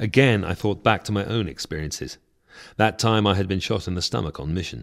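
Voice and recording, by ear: A text is read aloud in a natural voice. Its pitch moves in an ordinary way.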